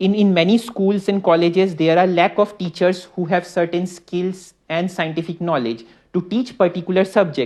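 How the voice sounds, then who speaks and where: At a moderate pace, a man with an Indian accent talks in a high pitch with ordinary pitch variation and hardly any pauses. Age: 20s. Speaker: startup founder. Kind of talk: talk to an audience. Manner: halting, many fillers and repeats.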